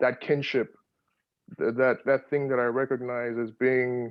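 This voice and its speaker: A man speaks at a fairly slow pace in a flat, monotone intonation. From Nigeria, Lagos. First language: Yoruba. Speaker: poet, audience participant. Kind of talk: audience comment in Q&A. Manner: halting, many repetitions.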